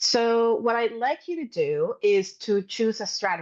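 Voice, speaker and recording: The speech carries a Spanish accent over a quiet background. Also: woman. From Puerto Rico. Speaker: science communication trainer. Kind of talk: webinar presentation.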